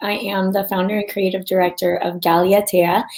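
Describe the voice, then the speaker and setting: The woman's speech moves at a moderate pace, with noticeable background noise behind it. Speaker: startup founder presenting. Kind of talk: pitch event interview.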